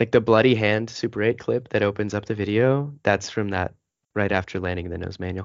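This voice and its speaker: A man with an American accent talks at a fairly quick pace in a normal speaking voice, his pitch fairly low and his intonation fairly even. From Arizona, US. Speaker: pro skateboarder. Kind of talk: casual interview chat. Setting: remote call.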